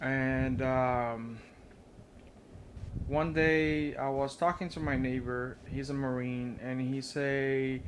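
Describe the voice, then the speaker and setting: Speaking at a very slow pace with a non-native accent, a man keeps a monotone, flat intonation while audible room echo fills the space. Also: medium pitch for a man. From Brazil. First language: Portuguese. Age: 30s. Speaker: vlogger. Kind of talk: casual vlog monologue. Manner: halting, many fillers.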